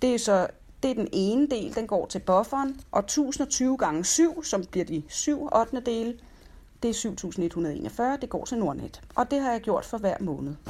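A woman's fairly high voice with a dark, mellow tone, vocal fry, very wide pitch swings and a very slow pace, on a very clean recording with a silent background. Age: 40s. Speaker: personal finance podcaster. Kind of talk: casual monologue. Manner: hesitant with many fillers.

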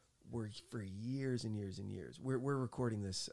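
A man with an American accent speaks fairly quickly with fairly even intonation and a dark, mellow tone. The recording is very clean, with a silent background. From New Jersey. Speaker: podcast co-host, movie reviewer. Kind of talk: casual chat. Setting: studio in Hollywood. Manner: soft-spoken.

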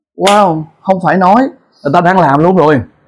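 Here a man is talking. His delivery moves fairly quickly. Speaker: entrepreneur. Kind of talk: motivational talk.

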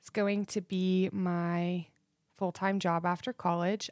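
A woman with a normal speaking voice at medium pitch and ordinary pitch variation, recorded very cleanly against a silent background with a dry, close sound and no echo. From Idaho. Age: 20s. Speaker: podcast host. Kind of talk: casual monologue.

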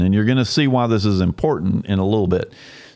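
Using an ordinary speaking voice, a man with an American accent talks at a medium pitch with ordinary pitch variation. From Georgia, US South. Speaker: constitutional commentator. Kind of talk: solo explanatory talk with screen walkthrough. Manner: casual, with frequent repetitions and fillers.

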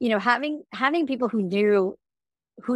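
A woman talks at a fairly quick pace in a plain, everyday voice with lively intonation, the recording very clean and the background silent. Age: 40s. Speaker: company founder and author. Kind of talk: interview.

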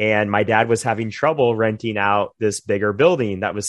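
In a plain, everyday voice, a man with an American accent talks at a fairly low pitch with fairly even intonation. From US South, Florida (Jupiter). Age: 30s. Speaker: gym owner. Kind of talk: interview.

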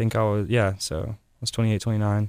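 With an American accent, a man speaks in a plain, everyday voice at a fairly low pitch and with fairly even intonation, on a very clean recording with a silent background. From South Carolina, Columbia. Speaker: entrepreneur and venture investor. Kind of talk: radio interview.

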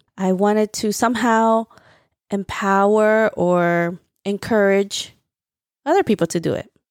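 Using a New Jersey accent, a woman speaks at a fairly slow pace and medium pitch with fairly even intonation and long, frequent pauses. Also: dry, close sound with no echo, very clean recording, silent background. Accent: New Jersey American English. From Central New Jersey, US. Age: 30s. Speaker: podcast host. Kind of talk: casual chat.

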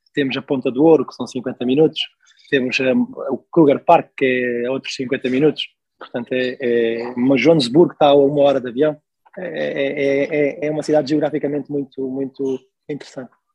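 A man's fairly high voice in a monotone, flat intonation, with a dry, close sound and no echo. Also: moderate pace. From Mozambique (Maputo). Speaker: logistics professional. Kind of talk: casual interview. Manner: hesitant, repeats words.

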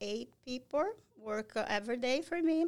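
Her voice is high in pitch, and this woman uses ordinary pitch variation. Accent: Brazilian. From Brazil. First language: Portuguese. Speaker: cleaning business owner. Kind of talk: podcast interview. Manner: halting.

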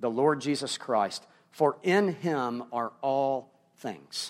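The recording is very clean and the background silent. Speaking is a man with a Southern US accent. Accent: Southern American. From US South. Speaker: pastor. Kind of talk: sermon.

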